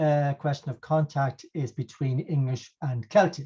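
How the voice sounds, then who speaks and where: A man speaks in a dark, mellow tone with an Irish accent. The background is quiet. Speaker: professor. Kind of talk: lecture. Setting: video call. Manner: hesitant.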